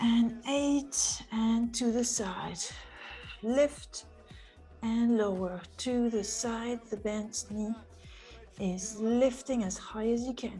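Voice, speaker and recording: Over music in the background, a woman speaks at a very slow pace with long, frequent pauses, her fairly high pitch held to fairly even intonation. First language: not English. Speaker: pilates instructor. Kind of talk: live fitness class instruction. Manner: encouraging.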